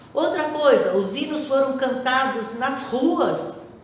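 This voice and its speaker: Amid audible room echo and noticeable background noise, a woman speaks at a high pitch with fairly even intonation and a very slow pace. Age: 60s. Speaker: Sunday school teacher. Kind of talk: Bible study lesson. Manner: halting, with many false starts.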